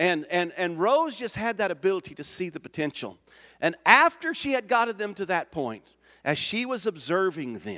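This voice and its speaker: With an American accent, a man speaks at a moderate pace on a very clean recording with a silent background. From Oklahoma. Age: 60s. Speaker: missionary. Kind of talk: sermon.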